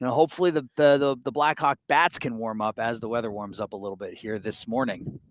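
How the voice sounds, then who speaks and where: A man's fairly quick delivery with hardly any pauses, ordinary pitch variation, big swings in loudness, and a dry, close sound with no echo. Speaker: play-by-play sports announcer. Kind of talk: live sports commentary. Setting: outdoors at a high school ballgame.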